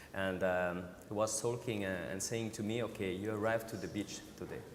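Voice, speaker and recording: With audible room echo, a man talks at a fairly quick pace. His pitch is fairly low and his intonation fairly even. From Switzerland, Vallée de Joux. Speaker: watchmaker. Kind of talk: panel discussion. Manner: halting.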